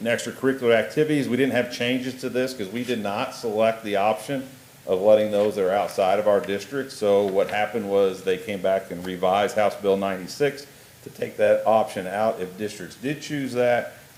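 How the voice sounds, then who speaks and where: A man with a fairly low voice talks fairly quickly while noticeable noise fills the background. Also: ordinary pitch variation. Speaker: school district administrator presenting policy. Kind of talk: board meeting report. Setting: school board meeting. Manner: quiet.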